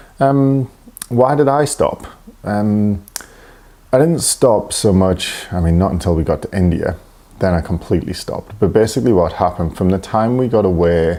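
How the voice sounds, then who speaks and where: The man's voice is quiet, with lively intonation and a moderate pace. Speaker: running coach. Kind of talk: casual solo podcast talk. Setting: home, early morning. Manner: talking quietly; hesitant, many fillers.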